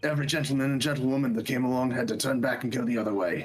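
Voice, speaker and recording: A raspy, put-on character voice from a man of medium pitch at a very fast pace, with faint music in the background. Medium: fan dub. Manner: blustering, hesitant.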